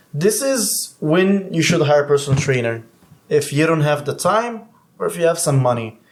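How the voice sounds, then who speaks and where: A man with a non-native accent speaks at a moderate pace and fairly high pitch, his intonation lively. Noticeable background noise runs underneath. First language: not English. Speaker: certified personal trainer. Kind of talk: casual chat.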